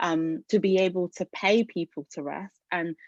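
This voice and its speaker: With a British accent and fairly even intonation, the voice has a dry, close sound with no echo. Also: woman. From England. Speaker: arts organisation leader. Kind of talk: webinar talk. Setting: video call. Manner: hesitant, many fillers.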